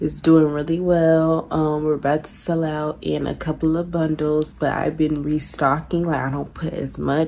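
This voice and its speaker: In a very deep, low voice, a woman talks at a moderate pace with monotone, flat intonation. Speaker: vlogger. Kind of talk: casual vlog chat. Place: home room. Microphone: phone near.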